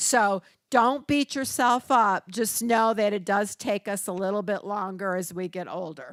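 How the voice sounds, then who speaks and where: Speaking in a normal speaking voice with an American accent, a woman talks at a fairly slow pace and a medium pitch, with ordinary pitch variation. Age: 60s. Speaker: registered nurse and community educator. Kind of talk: workshop presentation. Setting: church hall with audience. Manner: conversational.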